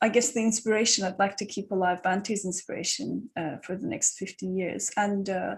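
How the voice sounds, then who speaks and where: The voice is somewhat breathy with ordinary pitch variation, set against a quiet background. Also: woman. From Turkey. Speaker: Buddhist panelist. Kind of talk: panel discussion.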